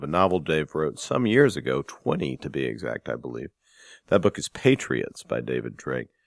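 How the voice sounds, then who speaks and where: On a very clean recording with a silent background, a man speaks at a fairly quick pace with vocal fry, the sound dry and close with no echo. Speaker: podcast host and book editor. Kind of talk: casual interview and book news.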